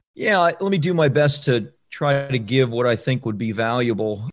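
A man with a normal speaking voice and an American accent talks at a fairly quick pace and medium pitch, with ordinary pitch variation over a quiet background. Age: 50s. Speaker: book publishing coach and author. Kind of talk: podcast interview.

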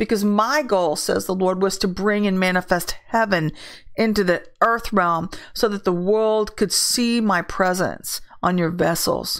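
A woman with a normal speaking voice talks at a moderate pace with fairly even intonation. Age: 50s. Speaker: prophetic ministry leader. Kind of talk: prophetic word livestream. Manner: casual.

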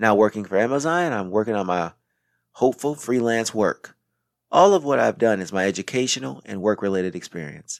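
An unremarkable speaking voice in an American accent at a fairly quick pace, on a very clean recording with a silent background. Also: man, fairly low pitch for a man, lively intonation, dry, close sound with no echo. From Racine, Wisconsin. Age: 30s. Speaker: podcast host. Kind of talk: scripted monologue. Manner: formal.

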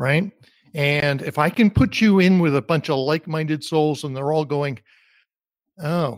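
Fairly slow speech in an American accent, with long, frequent pauses and ordinary pitch variation, in a very clean recording with a silent background and a dry, close sound with no echo. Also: man, fairly high pitch for a man. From US Northeast, New Jersey. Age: 60s. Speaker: career coach. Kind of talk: interview. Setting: call.

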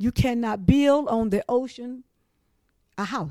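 A woman with an eastern North Carolina accent speaks at a fairly slow pace in a dark, mellow tone with lively intonation, on a very clean recording with a silent background. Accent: Southern US, eastern North Carolina. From eastern North Carolina, Trenton. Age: 60s. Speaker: flood survivor. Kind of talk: oral history interview. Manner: halting, frequent restarts.

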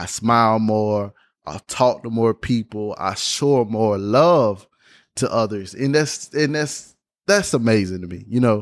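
Over a very clean recording with a silent background, a man with a Southern US accent talks at a fairly slow pace, his medium pitch showing ordinary variation. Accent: Southern US (Georgia). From US South, Georgia. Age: 20s. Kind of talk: faith testimony monologue. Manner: repeats words, halting in places.

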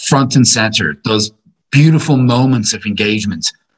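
This speaker has a Dublin accent and ordinary pitch variation. The voice is somewhat breathy, moving at a moderate pace. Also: man. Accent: Irish, Dublin. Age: 40s. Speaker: philosophy teacher. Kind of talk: casual chat.

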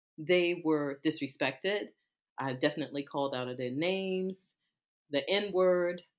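An American accent with ordinary pitch variation, in a very clean recording with a silent background. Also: woman. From Washington, D.C. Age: 50s. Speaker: podcast co-host. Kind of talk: casual chat.

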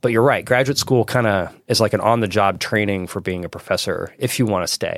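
A man with an unremarkable speaking voice talks at a fairly quick pace and medium pitch, with ordinary pitch variation and hardly any pauses. The recording is very clean and the background silent. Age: 40s. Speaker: communication professor. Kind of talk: casual interview.

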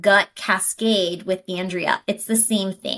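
A woman with an unremarkable speaking voice talks at a fairly slow pace and medium pitch. Her intonation is fairly even, and the recording is very clean with a silent background. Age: 30s. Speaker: wellness podcast co-host and health coach. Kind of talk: casual chat.

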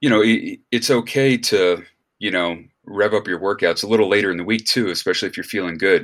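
This is a man with an American accent, speaking fairly quickly in an ordinary speaking voice with a fairly low pitch. The recording is very clean, with a silent background. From United States. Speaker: personal trainer and podcast co-host. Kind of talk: casual chat.

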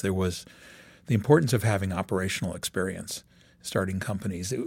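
In a very clean recording with a silent background, a man with a normal speaking voice and fairly low pitch talks at a fairly quick pace with ordinary pitch variation. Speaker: venture capitalist. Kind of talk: interview.

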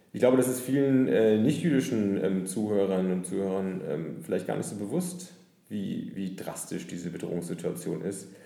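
Lively intonation at a moderate pace. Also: man, fairly low pitch for a man. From Nuremberg, northern Bavaria. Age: 30s. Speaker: author and lawyer. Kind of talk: interview. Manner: frequent hesitations.

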